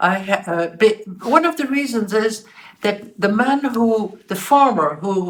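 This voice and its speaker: Somewhat breathy, a woman speaks at a medium pitch with very wide pitch swings. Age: 80s+. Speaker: holocaust survivor, retired journalist. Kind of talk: interview answer. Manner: warm, smiling.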